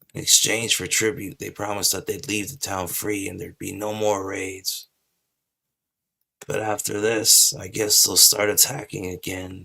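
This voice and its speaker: Putting on a character voice, a man speaks in a raspy, fairly low pitch at a moderate pace. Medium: game stream. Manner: chatty, casual.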